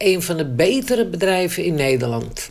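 A woman speaks at a fairly slow pace. Audible room echo and noticeable background noise fill the recording. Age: 70s. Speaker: retired steelworks employee. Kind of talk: interview testimony.

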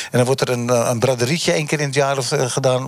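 A man speaks at a moderate pace and a medium pitch, with fairly even intonation. Noticeable background noise is present. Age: 70s. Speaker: taxi driver and former shopkeeper. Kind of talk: live debate panel. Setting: on location in a bus. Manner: halting.

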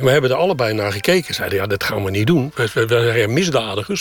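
Music plays behind a man talking very fast. His intonation is lively. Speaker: retiree living in a camper. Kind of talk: interview. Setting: inside a camper.

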